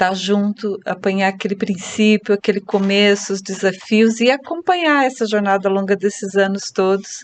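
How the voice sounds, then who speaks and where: In an ordinary speaking voice, a woman speaks at a medium pitch and moderate pace with fairly even intonation, the sound dry and close with no echo. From Brazil, Curitiba (Paraná). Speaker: real estate agent and team leader. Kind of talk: podcast interview.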